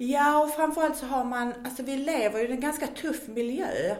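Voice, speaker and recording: A woman speaks with a strong Scanian accent. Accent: Scanian Swedish, strong. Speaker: weight-loss program worker. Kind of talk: casual interview chat.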